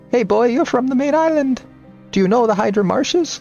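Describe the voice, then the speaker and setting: Faint music plays in the background as a man speaks in a put-on character voice. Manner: fairy-tale dwarf style.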